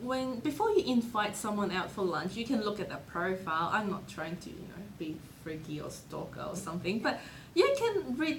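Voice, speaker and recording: A woman's voice comes through with noticeable background noise and audible room echo. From Hong Kong. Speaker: author. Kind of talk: interview.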